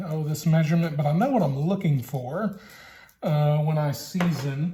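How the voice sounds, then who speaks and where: A man's fairly high-pitched voice with a Louisiana accent, fairly even intonation and a moderate pace. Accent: Southern US (Louisiana). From Louisiana, US South. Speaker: BBQ hobbyist vlogger, high school teacher. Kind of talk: cooking tutorial. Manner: casual, hesitant with fillers.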